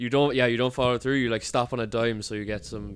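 Someone speaks at a very fast pace in a Cork accent. The intonation stays fairly even. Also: man. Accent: Cork Irish. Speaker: podcast host. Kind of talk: casual chat. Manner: monotone.

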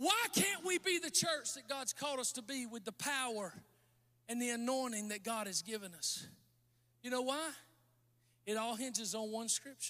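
A man's raised, projected voice at an extremely high pitch, bright and sharp in tone, with lively intonation, a moderate pace and long, frequent pauses. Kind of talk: sermon with altar call, preacher in full flow. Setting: church with live audience. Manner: animated, fervent, exhorting the crowd with call-and-response.

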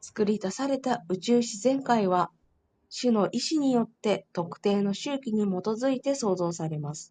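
Speaking at a fairly slow pace, a woman with a fairly high pitch has a dark, mellow tone that is somewhat breathy. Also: lively intonation. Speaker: study group participant. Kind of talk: reading aloud. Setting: online group voice room. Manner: polite.

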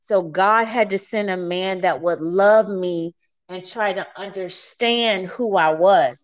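A woman with an ordinary speaking voice and a medium pitch speaks at a fairly slow pace with lively intonation. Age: 50s. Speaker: minister and speaker. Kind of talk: interview, testimony. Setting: phone call.

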